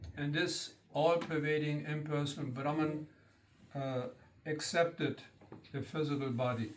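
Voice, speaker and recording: Fairly high, fairly even male voice at a fairly slow pace, with long, frequent pauses, audible room echo, and noticeable background noise. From German-speaking country. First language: German. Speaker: spiritual teacher. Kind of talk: lecture. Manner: halting.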